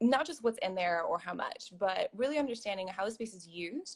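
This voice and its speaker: Here is a woman with an ordinary speaking voice and a medium pitch. She talks at a moderate pace with lively intonation. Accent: American. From US. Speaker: professional organizer. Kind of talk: interview.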